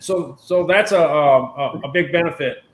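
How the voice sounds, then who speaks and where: In a room with audible echo, a man speaks in a high voice with a bright, sharp tone. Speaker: online show host. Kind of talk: casual live-stream chat. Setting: video call. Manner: fast talker. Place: home room. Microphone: webcam.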